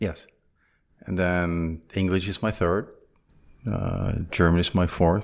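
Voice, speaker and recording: In a very clean recording with a silent background, a man with a Flemish accent talks at a very slow pace in a very deep, low pitch and a monotone, flat intonation. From Belgium (Flanders). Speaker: business executive and entrepreneur. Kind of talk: casual interview.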